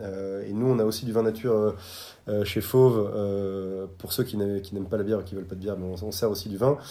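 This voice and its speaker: A man's fairly low voice with a dark, mellow tone, fairly quick in pace and fairly even in intonation. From France, Bordeaux. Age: 30s. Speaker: restaurant co-founder. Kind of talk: interview.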